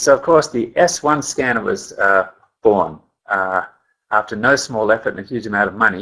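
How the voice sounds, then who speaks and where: A man at a moderate pace with lively intonation. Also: medium pitch for a man. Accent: Australian. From Australia. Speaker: company scientist presenting a training webinar. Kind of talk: webinar presentation. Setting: webinar call.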